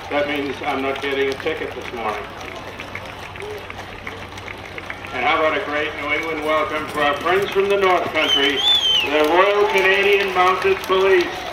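A man at a moderate pace, with long, frequent pauses over loud background noise. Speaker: parade announcer. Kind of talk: commentary. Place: street.

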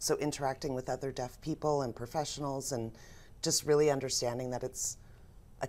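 A woman's very deep, low voice, dark and mellow in tone, with fairly even intonation. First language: American Sign Language. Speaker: business owner and sign language interpreter; guest. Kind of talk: interview. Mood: warm, reflective storytelling. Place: studio. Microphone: lapel.

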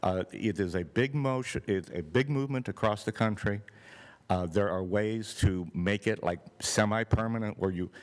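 A man's normal speaking voice, fairly low in pitch with ordinary variation, at a moderate pace in a very clean recording with a silent background. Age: 60s. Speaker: public commenter at city meeting. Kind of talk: public comment. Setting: public meeting.

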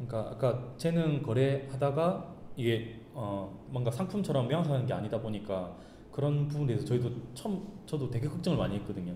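Speaking fairly quickly with a slight Gyeongsang accent, a man is heard with audible room echo and light background noise. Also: medium pitch for a man, lively intonation. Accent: Gyeongsang dialect tinge. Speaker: startup founder; guest. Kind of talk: talk show interview. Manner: hesitant, many fillers. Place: meeting room. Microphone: camera far.

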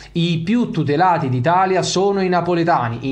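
Behind the speaker, all is quiet. A man's words come somewhat quickly. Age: 30s. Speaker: football YouTuber. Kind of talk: video commentary monologue. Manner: animated. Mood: indignant, heated. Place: home room. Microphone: studio mic.

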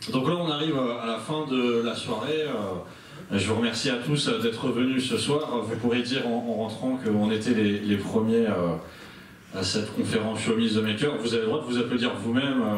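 A man talks at a moderate pace with ordinary pitch variation, with light background noise and audible room echo around him. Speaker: event host. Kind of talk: event hosting. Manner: halting. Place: hall.

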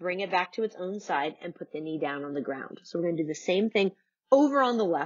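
A woman talks at a fairly quick pace in a calm, soothing tone with lively intonation against a quiet background. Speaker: yoga instructor. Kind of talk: guided yoga class. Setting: home video recording. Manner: calm, soothing, and instructional; warm and encouraging. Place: home room.

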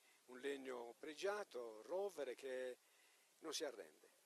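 Here a man talks at a fairly high pitch. His pace is fairly slow and his pitch varies in an ordinary way. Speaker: town mayor. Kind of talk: interview.

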